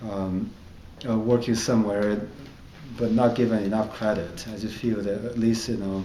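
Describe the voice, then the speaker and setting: Speaking with a Chinese accent at a moderate pace, a man with a fairly low pitch uses flat, monotone intonation and long, frequent pauses amid audible room echo. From China. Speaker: comedian. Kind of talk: interview. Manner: halting, with fillers.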